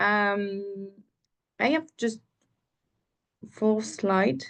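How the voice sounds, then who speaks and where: With a French accent, a woman speaks at a medium pitch. Her pace is very slow. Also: quiet background. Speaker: cultural collective member. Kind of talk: webinar presentation. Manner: halting.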